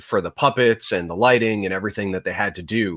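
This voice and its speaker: With an unremarkable speaking voice, a man talks at fairly low pitch with ordinary pitch variation. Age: 30s. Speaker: podcast co-host. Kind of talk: casual chat. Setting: live stream with online viewers.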